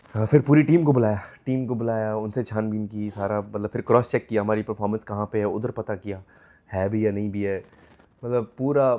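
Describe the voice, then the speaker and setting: At a moderate pace, a man speaks with a fairly low pitch, a dark, mellow tone and fairly even intonation. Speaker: vlogger and stage performer. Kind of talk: casual travel vlog.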